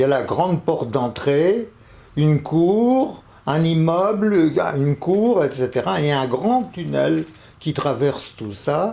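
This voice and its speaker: A man with a fairly high voice speaks at a very slow pace, his pitch swinging very widely. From Paris, Belleville. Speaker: television director. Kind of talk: personal testimony. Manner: hesitant.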